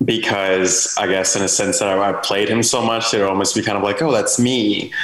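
A man with a fairly low pitch speaks with fairly even intonation over noticeable background noise. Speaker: panel participant, gaming fan. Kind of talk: casual chat.

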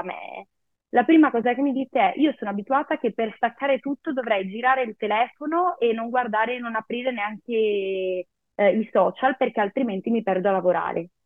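Here a woman talks at a fairly quick pace in a normal speaking voice. Her pitch is fairly high, with ordinary pitch variation. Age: 30s. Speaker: psychologist and psychotherapist. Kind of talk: interview.

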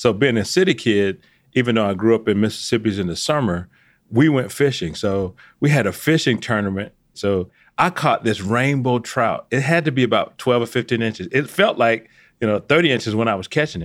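A man with an American accent and an ordinary speaking voice talks at a fairly quick pace on a very clean recording with a silent background. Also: medium pitch for a man, lively intonation. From Atlanta, Georgia, US. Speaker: podcast co-host, retired army general. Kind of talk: interview.

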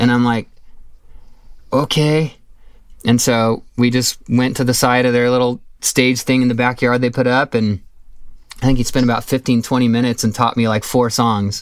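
In a very clean recording with a silent background, a man of medium pitch with an American accent speaks at a moderate pace in a monotone, flat intonation, his loudness very even and his pauses long and frequent. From Southern California. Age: 40s. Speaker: musician. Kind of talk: interview.

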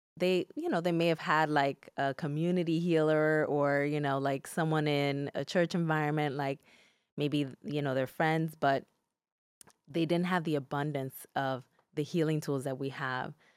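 Speech comes in a Spanish accent with monotone, flat intonation at a moderate pace. The sound is dry and close with no echo, on a very clean recording with a silent background. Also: woman, very deep, low pitch for a woman. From Newark, New Jersey (Dominican-born). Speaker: psychologist. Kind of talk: interview. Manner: calm, soothing.

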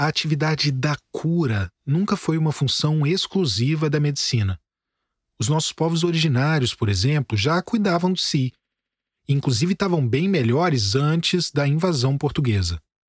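At a moderate pace, a somewhat breathy voice with lively intonation and very even loudness comes through a dry, close sound with no echo, on a very clean recording with a silent background. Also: man, fairly high pitch for a man. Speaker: podcast host and journalist. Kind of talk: scripted narration.

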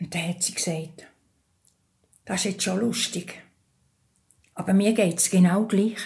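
In a Bernese accent, a woman speaks somewhat breathily at a medium pitch and fairly slow pace, with fairly even intonation and long, frequent pauses. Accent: Bernese Swiss German. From Switzerland, Thurgau. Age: 80s+. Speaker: interviewee telling her life story. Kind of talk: personal testimony in an interview. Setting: kitchen at her home.

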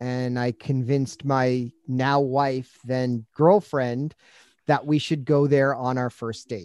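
In a dry, close sound with no echo, a man with an ordinary speaking voice talks at a fairly slow pace, medium in pitch and fairly even in intonation. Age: 40s. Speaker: ad agency creative director and podcast host. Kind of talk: casual chat.

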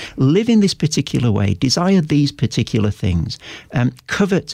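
Heard in a dry, close recording with no echo, a man speaks at a medium pitch with vocal fry. His pitch swings very widely. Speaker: professor and author. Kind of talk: interview.

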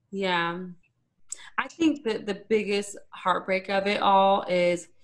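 A woman speaks in an unremarkable speaking voice at a medium pitch. Her intonation is fairly even. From Arizona, small town. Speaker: radio host. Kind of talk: casual interview chat. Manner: talkative, fast.

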